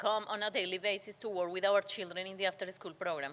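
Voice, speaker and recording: A woman speaks with a non-native accent at a fairly quick pace. Her medium-pitched voice has a bright, sharp tone and fairly even intonation. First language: Spanish. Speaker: nonprofit community center leader. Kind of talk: interview.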